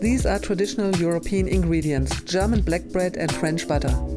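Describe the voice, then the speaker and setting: Music plays in the background. The speech moves at a fairly quick pace with very even loudness. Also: woman. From Germany. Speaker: chef and cooking show host. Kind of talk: cooking show host, casual talk to camera. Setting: indoors at a gourmet food market.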